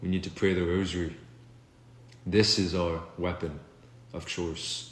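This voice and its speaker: A man speaks very slowly in a very deep, low, somewhat breathy voice. The room echo is audible. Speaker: video blogger. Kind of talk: political monologue. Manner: unscripted, halting.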